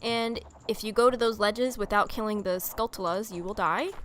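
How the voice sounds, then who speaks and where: Noticeable background noise runs behind this woman. Her pitch is fairly high. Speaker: gaming video creator. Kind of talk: video game let's play commentary.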